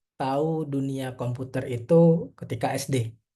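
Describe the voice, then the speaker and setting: The man's tone is dark and mellow, with a somewhat breathy quality. His intonation stays fairly even. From Indonesia, East Kalimantan (Tenggarong), later Malang. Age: 30s. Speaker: mobile developer, webinar speaker. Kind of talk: webinar presentation. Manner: casual, hesitant with fillers.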